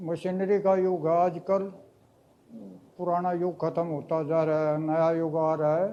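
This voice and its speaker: In a dark, mellow tone, a man speaks at a high pitch with monotone, flat intonation. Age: 60s. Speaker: farmer and mature student. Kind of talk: interview answers. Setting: on location at a training institute.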